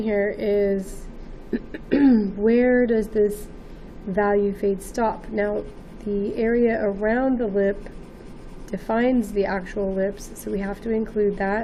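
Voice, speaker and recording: A woman speaks fairly slowly at a fairly high pitch in a flat monotone. Room echo is audible. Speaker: art teacher. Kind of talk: tutorial. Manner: hesitant, with many fillers.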